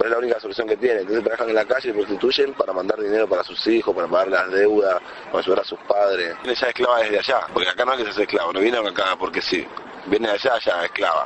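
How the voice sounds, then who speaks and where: Noticeable background noise sits under a man who speaks at a very fast pace. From Dominican Republic. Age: 20s. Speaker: rapper. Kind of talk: interview.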